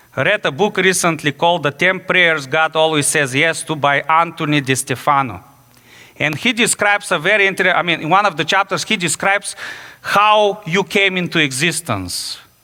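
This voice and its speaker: A man with a Bulgarian accent, high-pitched, animated and lively in intonation, at a moderate pace. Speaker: pastor. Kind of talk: sermon. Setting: church.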